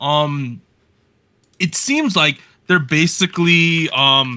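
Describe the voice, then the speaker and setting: The recording is very clean with a silent background. A man with a New Jersey accent speaks in a fairly high pitch with ordinary pitch variation and a bright, sharp, animated tone. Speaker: podcast host. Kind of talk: casual chat. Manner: casual, animated.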